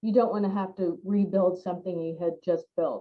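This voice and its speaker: Medium-pitched woman at a moderate pace with fairly even intonation. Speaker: park planning director. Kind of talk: conference panel presentation. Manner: halting, many fillers.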